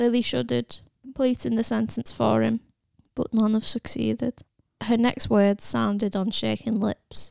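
Someone reads aloud plainly against a quiet background.

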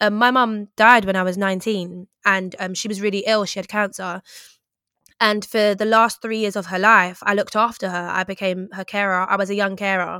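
In an English accent, a woman with a bright, sharp tone speaks at a moderate pace and medium pitch, monotone and flat, on a very clean recording with a silent background. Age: 30s. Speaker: broadcaster and writer. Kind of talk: interview about grief.

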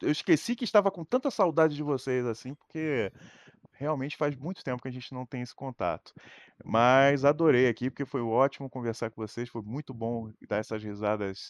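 A man with an unremarkable speaking voice talks at a moderate pace and medium pitch, with ordinary pitch variation, in a dry, close sound with no echo. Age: 30s. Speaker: streamer. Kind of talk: casual chat.

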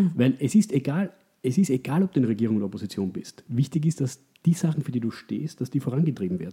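The voice has a dark, mellow tone and is somewhat breathy. It moves at a very fast pace with very wide pitch swings. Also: man, medium pitch for a man. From Austria. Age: 30s. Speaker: economist. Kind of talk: interview. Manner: halting, many repetitions.

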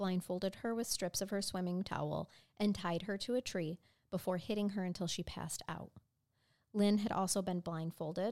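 A woman with an American accent speaks at a moderate pace in an ordinary speaking voice, her pitch medium and her intonation fairly even. The sound is dry and close with no echo, on a very clean recording over a silent background. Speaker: true crime podcast co-host. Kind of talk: storytelling; casual chat.

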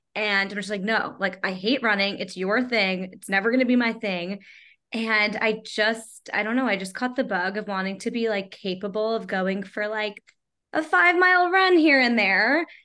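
A woman with an American accent speaks at a moderate pace, in a fairly high pitch with lively intonation. Hers is an unremarkable speaking voice. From Long Island, New York. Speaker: content creator and video editor. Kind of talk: casual interview.

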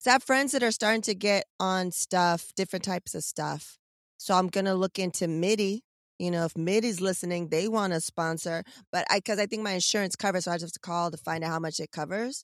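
A woman with an American accent talks at a fairly quick pace and a medium pitch, with ordinary pitch variation. The sound is dry and close with no echo, and the background is quiet. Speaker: podcast host. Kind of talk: casual chat. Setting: in a car. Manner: loud.

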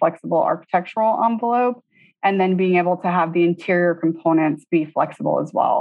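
Speaking in an unremarkable speaking voice, a woman with an American accent holds a medium pitch with ordinary pitch variation. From Tallahassee, Florida. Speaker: interior designer, design principal. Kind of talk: interview.

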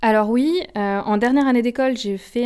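A woman speaks at a moderate pace with ordinary pitch variation, in a very clean recording with a silent background. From France, Haute-Savoie. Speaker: management consultant. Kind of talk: interview. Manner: hesitant, with filler sounds.

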